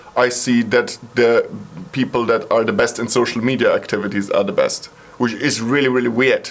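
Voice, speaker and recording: With noticeable background noise, a man with a German accent speaks at a moderate pace. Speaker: psytrance producer and YouTuber. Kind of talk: video monologue response. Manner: casual.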